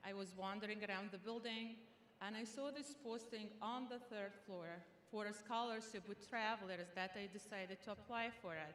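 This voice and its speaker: With an Arabic accent, a woman speaks at a fairly high pitch and moderate pace with ordinary pitch variation, amid audible room echo and noticeable background noise. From Sudan. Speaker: student graduation speaker. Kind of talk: commencement speech.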